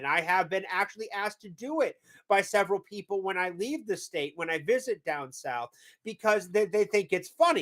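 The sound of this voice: The speaker talks at a moderate pace with a slight New England accent. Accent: faint New England.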